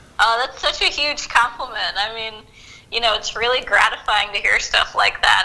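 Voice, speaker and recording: Her tone bright and sharp, a woman speaks at a moderate pace with fairly high pitch and fairly even intonation. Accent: slight Southern US. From US South, Macon, Georgia. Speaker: historian. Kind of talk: interview.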